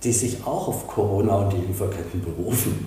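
Recorded with audible room echo and noticeable background noise, a man speaks at a fairly slow pace. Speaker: real estate company executive. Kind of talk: interview. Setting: office in Dresden.

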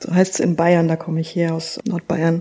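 The speaker has a normal speaking voice. The pace is moderate. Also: woman. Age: 30s. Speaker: theologian, church innovation officer. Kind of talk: podcast interview.

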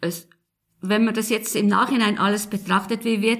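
A somewhat breathy woman's voice. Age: 70s. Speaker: retiree, engaged citizen. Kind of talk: interview questions.

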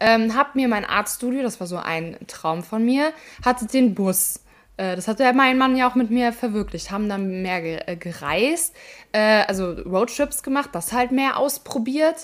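A woman speaks with lively intonation at a fairly high pitch. Hers is a normal speaking voice. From Germany, Ahr valley (Rhineland-Palatinate). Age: 20s. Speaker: flood survivor. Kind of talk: casual interview.

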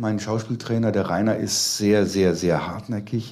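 A man talks fairly slowly at a medium pitch, his tone dark and mellow. Room echo is audible. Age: 50s. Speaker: magician and entertainer. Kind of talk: casual chat.

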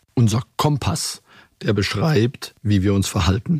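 A man speaks at medium pitch, somewhat breathy, with lively intonation. The sound is dry and close with no echo. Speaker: bank CEO. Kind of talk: internal corporate interview. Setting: studio.

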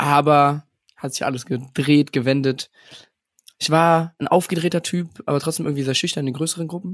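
This is an ordinary speaking voice from a man, fairly high in pitch. He keeps a moderate pace and fairly even intonation, with a dry, close sound with no echo. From Germany, Rhineland (Alfter near Bonn). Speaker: podcast co-host. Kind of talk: casual chat.

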